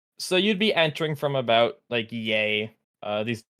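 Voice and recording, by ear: With the background quiet, the reading aloud in a natural voice carries lively intonation.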